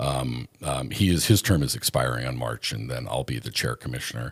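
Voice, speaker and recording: Talking at a fairly quick clip, a man with an American accent uses lively intonation and some vocal fry. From Montana. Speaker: former radio talk show host, fisheries commissioner. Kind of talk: casual interview chat.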